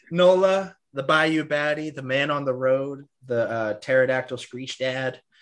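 In an unremarkable speaking voice, a man speaks at a fairly slow pace with hardly any pauses, his pitch fairly high with ordinary pitch variation. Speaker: podcast host. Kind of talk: casual chat. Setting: video call.

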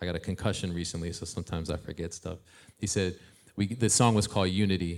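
Recorded very cleanly with a silent background, a man with a very deep, low pitch talks very fast in an American accent, his intonation fairly even. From Ohio. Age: 40s. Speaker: hip-hop artist and youth mentor. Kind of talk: casual interview on stage. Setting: stage with live audience.

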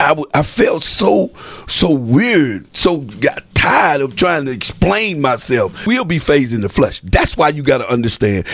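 A man's fairly high voice in an animated tone with very wide pitch swings, over noticeable background noise. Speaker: radio host and apostle. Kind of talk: religious radio talk show. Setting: studio.

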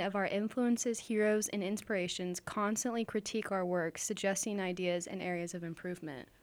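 On a very clean recording with a silent background, a woman with an unremarkable speaking voice talks at a moderate pace with fairly even intonation. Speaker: radio co-host. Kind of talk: casual chat.

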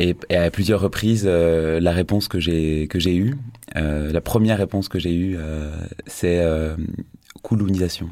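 A man's very deep, low voice at a very slow pace, with long, frequent pauses, fairly even intonation and very even loudness. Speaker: theatre director. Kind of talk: radio interview. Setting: studio. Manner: halting.

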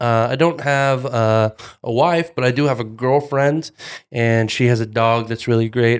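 With an American accent and a normal speaking voice, a man talks at a moderate pace using fairly even intonation. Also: very clean recording, silent background. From North Texas, Denton. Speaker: youth minister. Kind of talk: casual chat.

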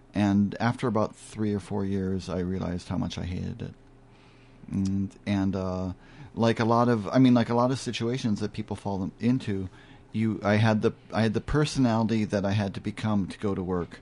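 A man speaks at a moderate pace with a plain, everyday voice. His pitch sits fairly low, and his intonation stays fairly even. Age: 50s. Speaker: bow maker. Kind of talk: radio interview, casual conversation. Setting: radio studio.

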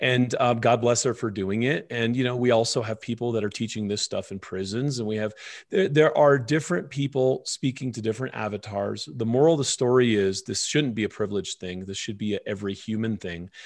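A man talks in an ordinary speaking voice at a medium pitch with ordinary pitch variation. His pace is fairly quick with hardly any pauses, on a very clean recording with a silent background. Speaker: wellness author and filmmaker. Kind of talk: interview conversation. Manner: calm, explanatory.

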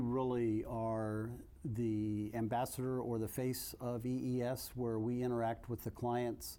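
A man's dark, mellow, medium-pitched voice, fairly slow, with monotone, flat intonation. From US, army brat (Colorado-born, moved around). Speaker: army veteran, government client services director. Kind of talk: interview conversation.

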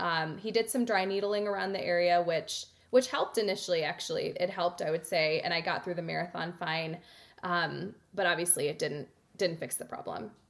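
A woman with an ordinary speaking voice talks at a fairly quick pace and fairly low pitch, using ordinary pitch variation. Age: 30s. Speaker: marathon runner and yoga teacher. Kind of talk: interview.

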